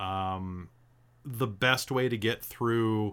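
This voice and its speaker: Recorded very cleanly against a silent background, a man with an ordinary speaking voice talks at a fairly low pitch with fairly even intonation. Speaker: dungeon master. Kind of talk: casual chat about a tabletop roleplaying game.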